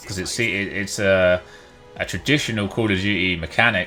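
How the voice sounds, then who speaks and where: A man speaks at a moderate pace with a very deep, low pitch and ordinary pitch variation. Music plays in the background. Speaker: gamer, streamer. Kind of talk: gameplay commentary.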